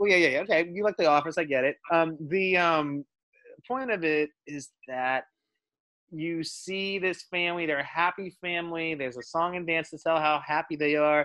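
With an American accent, a man talks at a moderate pace in a high voice. His tone is bright and sharp, with ordinary pitch variation. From Dallas, Texas. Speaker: film producer. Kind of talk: casual chat. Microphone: bad internet connection.

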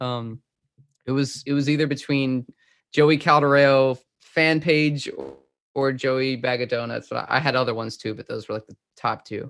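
With an American accent, a man of medium pitch speaks at a moderate pace with fairly even intonation in an ordinary speaking voice, the recording very clean and the background silent. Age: 20s. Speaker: reggae rock musician. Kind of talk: interview.

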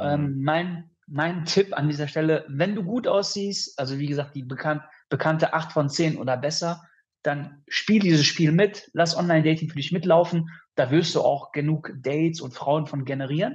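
A man talks at a moderate pace with an unremarkable speaking voice. His pitch is fairly high and varies in an ordinary way. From Düsseldorf, Germany. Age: 30s. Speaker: podcast guest, dating coaching alumnus. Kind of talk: casual chat.

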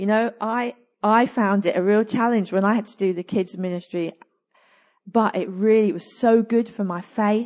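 This woman has a plain, everyday voice, fairly high in pitch, with fairly even intonation at a moderate pace. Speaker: pastor. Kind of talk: sermon. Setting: church.

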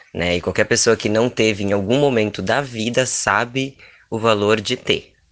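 This man has an unremarkable speaking voice with a fairly low pitch. He talks at a fairly slow pace, with fairly even intonation. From Rio Grande do Sul, Brazil. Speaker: performance artist and cook. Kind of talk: casual chat.

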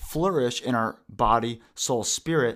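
A man with a medium pitch and an American accent speaks at a fairly slow pace in an ordinary speaking voice. The recording is very clean, with a silent background. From Pacific Northwest US (Washington). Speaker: youth pastor. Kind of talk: casual interview chat.

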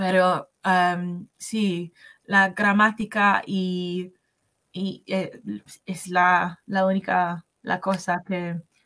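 On a very clean recording with a silent background, a woman with an English accent speaks at a very slow pace and medium pitch, her intonation monotone and flat and her tone bright and sharp. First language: English (speaking Spanish). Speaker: English language assistant, Spanish learner. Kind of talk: interview. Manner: halting, many fillers and restarts.

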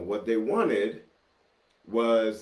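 With an American accent and a fairly low pitch, a man speaks at a very slow pace amid audible room echo. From New York City, Brooklyn. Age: 50s. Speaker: podcast host. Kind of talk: casual chat. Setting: home studio.

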